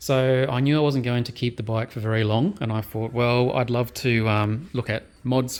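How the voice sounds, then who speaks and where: At a moderate pace and medium pitch, a man speaks in a normal speaking voice with fairly even intonation. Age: 40s. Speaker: motorcycle vlogger. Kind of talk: tutorial.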